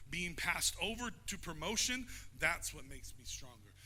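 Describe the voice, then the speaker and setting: A man talks in an animated tone at a moderate pace. Audible room echo and noticeable background noise surround him. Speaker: pastor. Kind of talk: sermon. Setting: church. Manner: loud.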